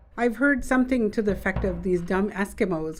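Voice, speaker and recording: A woman keeps a moderate pace as noticeable background noise and audible room echo surround her. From Shishmaref, Alaska (Inupiaq). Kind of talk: interview.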